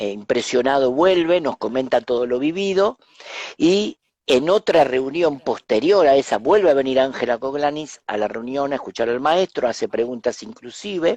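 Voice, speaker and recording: With lively intonation and a fairly high pitch, a man talks in an ordinary speaking voice, the sound dry and close with no echo. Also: moderate pace. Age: 60s. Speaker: spiritual teacher and author. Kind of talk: interview, personal storytelling. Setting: live stream.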